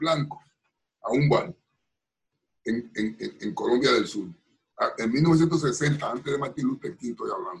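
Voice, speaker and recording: With long, frequent pauses, a man speaks in a somewhat breathy voice that sits fairly high for a man and shows ordinary pitch variation. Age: 70s. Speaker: politician and pastor. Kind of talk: interview. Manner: halting, with many repetitions.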